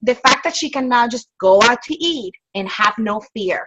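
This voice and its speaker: With a bright, sharp tone and lively intonation, a woman speaks at a high pitch and a moderate pace. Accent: non-native. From outside the US, immigrant. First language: not English. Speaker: network marketing distributor. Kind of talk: casual advice talk. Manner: animated.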